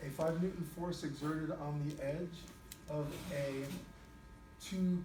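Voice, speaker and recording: Through noticeable background noise and audible room echo, a man speaks in a fairly high pitch with monotone, flat intonation and long, frequent pauses. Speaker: high school physics teacher. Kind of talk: classroom lecture.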